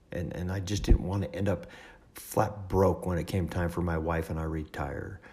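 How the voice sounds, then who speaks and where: With a very deep, low pitch and a dark, mellow tone, a man talks at a moderate pace with vocal fry and ordinary pitch variation. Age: 50s. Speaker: podcast host. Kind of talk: personal storytelling monologue. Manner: halting, many fillers.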